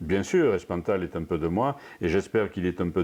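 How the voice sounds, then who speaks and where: A man speaks in a very deep, low voice with a dark, mellow tone. The background is quiet. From southwestern France, Périgord. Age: 60s. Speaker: storyteller and songwriter. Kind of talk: interview. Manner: halting, many repetitions and fillers.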